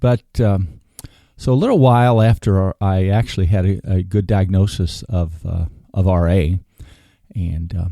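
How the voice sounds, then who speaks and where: A man speaks fairly slowly in a very deep, low pitch. His tone is dark and mellow, with ordinary pitch variation. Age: 60s. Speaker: podcast host. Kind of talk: podcast monologue. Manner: halting.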